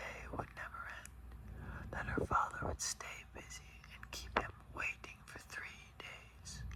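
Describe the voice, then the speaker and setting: With noticeable background noise behind it, a whisper moves along at a fairly slow pace. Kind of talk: ASMR book reading. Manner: whispered, soft-spoken.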